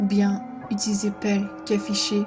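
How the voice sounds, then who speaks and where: With music in the background, a woman is talking. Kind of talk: horror story narration.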